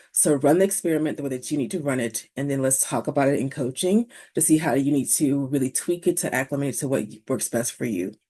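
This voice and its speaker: Against a quiet background, a woman speaks at a very fast pace with lively intonation. Her very deep, low voice has a dark, mellow tone. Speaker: university academic support staff. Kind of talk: informational presentation to parents.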